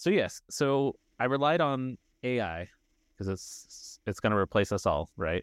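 A normal speaking voice with lively intonation moves at a fairly slow pace, in a dry, close sound with no echo and a very clean recording over a silent background. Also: man. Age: 30s. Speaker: podcast co-host. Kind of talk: casual chat.

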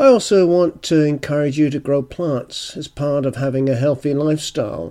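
A man with a British accent and a dark, mellow tone speaks at a moderate pace. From UK. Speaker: gardening podcaster. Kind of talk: solo podcast monologue.

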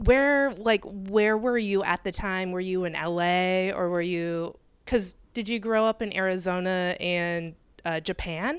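A plain, everyday voice from a woman with an American accent, medium pitch and a fairly slow pace, on a very clean recording with a silent background. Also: ordinary pitch variation. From Michigan. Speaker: podcast host. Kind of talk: casual interview; scripted intro and outro. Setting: home kitchen, handheld mic.

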